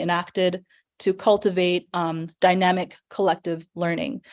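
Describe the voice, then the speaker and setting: A woman's voice at medium pitch. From Chicago, came from Pakistan as a young child. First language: not English. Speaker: math education program director. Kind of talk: presentation talk. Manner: hesitant, many fillers.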